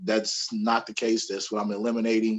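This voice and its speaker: This man has a normal speaking voice at medium pitch. His intonation is fairly even, at a fairly quick pace. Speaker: army veteran and author. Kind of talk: interview.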